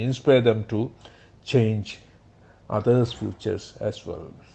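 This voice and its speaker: A somewhat breathy man with a Keralan accent and fairly even intonation. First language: Malayalam. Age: 60s. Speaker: motivational speaker. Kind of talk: personal narration.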